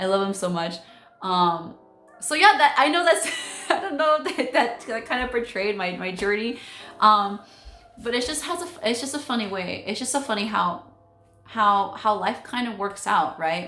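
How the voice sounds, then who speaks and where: A woman speaks loudly in an animated tone at a fairly high pitch, with very wide pitch swings. Music plays in the background, and room echo is audible. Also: moderate pace. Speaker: real estate agent, former teacher. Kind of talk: casual vlog monologue.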